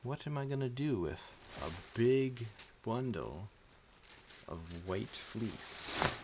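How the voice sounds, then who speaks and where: A quiet man with a medium pitch talks at a very slow pace in a calm tone with lively intonation and long, frequent pauses, with audible room echo and noticeable background noise. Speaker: streamer. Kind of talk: casual chat. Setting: live stream at home.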